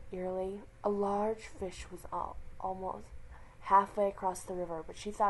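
The speaker's plain reading aloud keeps a fairly even intonation.

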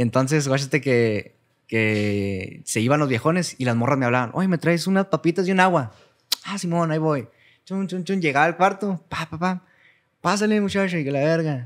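A man's fairly high voice at a moderate pace, against a quiet background. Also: lively intonation. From Cuauhtémoc, Chihuahua, northern Mexico; Chihuahua, Mexico. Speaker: singer; guest. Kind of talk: casual chat. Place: studio. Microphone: studio mic.

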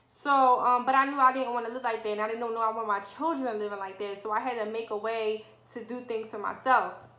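A woman speaks very fast at a fairly high pitch with fairly even intonation. Audible room echo is present. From Philadelphia, US. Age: 20s. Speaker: lash artist, beauty vlogger. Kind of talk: personal story vlog. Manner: casual, frequent 'um' fillers. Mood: earnest, reflective. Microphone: phone near.

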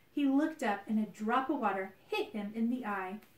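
This is a natural reading voice. The clip holds that throughout.

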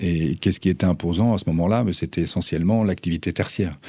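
A man speaks in a very deep, low pitch with a dark, mellow tone and ordinary pitch variation. The sound is dry with no echo, and the background is quiet. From France, Nantes; France. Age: 50s. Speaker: cultural venue director; radio guest. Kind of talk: radio interview. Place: studio. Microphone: studio mic.

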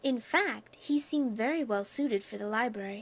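Someone reads aloud plainly.

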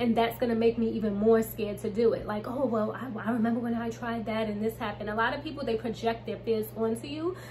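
Someone with an American accent talks at a very fast pace with hardly any pauses over light background noise. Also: woman. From US Northeast, Brooklyn, New York; New York. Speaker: YouTuber, manifestation coach; manifestation coach. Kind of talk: casual tutorial vlog. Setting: home. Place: home room. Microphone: phone near.

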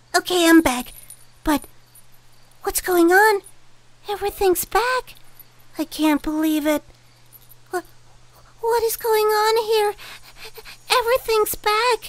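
A cartoonish character voice at an extremely high pitch, fairly slow, with long, frequent pauses. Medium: puppet. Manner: flustered, stammering.

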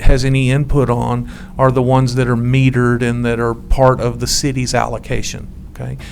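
There is vocal fry in this man's voice. Faint background noise sits behind him.

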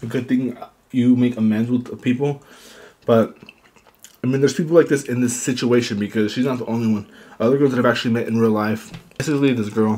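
This man talks at a very fast pace with fairly even intonation. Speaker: eating show host. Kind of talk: casual mukbang chat. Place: home room. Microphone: studio mic.

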